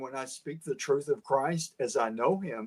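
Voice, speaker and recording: A man with an East Texas accent at a fairly slow pace, lively intonation, and a dry, close sound with no echo. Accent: East Texas Southern. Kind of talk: interview. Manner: down-to-earth, plain-spoken.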